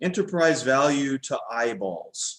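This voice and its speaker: A man speaks with an English accent and lively intonation. His pace is very slow. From Texas, Dallas. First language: English (speaking Portuguese). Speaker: fund manager. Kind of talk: casual interview. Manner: halting, many fillers.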